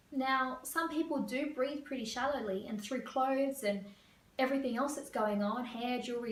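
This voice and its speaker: Audible room echo surrounds a woman speaking at a fairly quick pace in a high pitch with ordinary pitch variation. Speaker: career coach. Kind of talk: tutorial.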